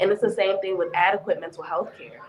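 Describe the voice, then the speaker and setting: A woman talks at a medium pitch with ordinary pitch variation. Noticeable background noise runs under her voice. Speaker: mental health therapist. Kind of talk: panel discussion.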